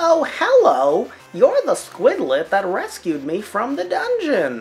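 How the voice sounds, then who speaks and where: A put-on character voice at a fairly slow pace, with faint music in the background. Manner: cheerful, friendly.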